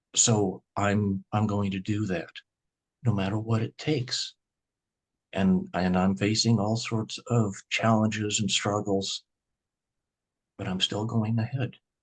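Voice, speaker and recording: Speaking with a Midwestern US accent, a man has a fairly low pitch, fairly even intonation and a fairly slow pace with long, frequent pauses. The sound is dry and close, with no echo and a quiet background. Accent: US Midwest. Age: 60s. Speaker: grocery store owner. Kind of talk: interview.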